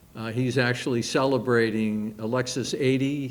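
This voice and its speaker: Speaking fairly slowly, a man keeps a medium pitch and fairly even intonation. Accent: Boston. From Massachusetts, Quincy area. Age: 70s. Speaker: retired fire captain. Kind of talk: public talk. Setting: library event with audience. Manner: halting with frequent fillers.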